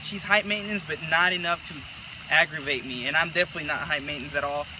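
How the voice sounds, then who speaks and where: Over noticeable background noise, a man speaks at a very fast pace with a fairly high pitch and ordinary pitch variation. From El Salvador, San Salvador. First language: Spanish. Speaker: couple applicant. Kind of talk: casual interview.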